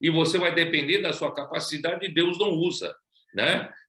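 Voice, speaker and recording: Recorded with audible room echo, a man speaks at a high pitch in a bright, sharp tone. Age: 70s. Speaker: preacher. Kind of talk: sermon. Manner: halting.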